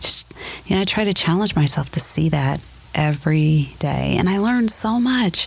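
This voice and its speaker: A woman with an American accent and fairly low pitch, at a moderate pace with very even loudness, over noticeable background noise. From US Midwest, Ohio (Akron area). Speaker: church member, HR professional. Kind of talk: casual chat. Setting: church.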